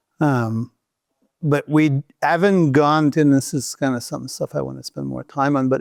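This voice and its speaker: The recording is very clean, with a silent background. The speaker talks at a moderate pace in a Quebec accent. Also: man. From Quebec City, Canada. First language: French. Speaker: outdoor business founder, former mountain guide. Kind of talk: podcast interview.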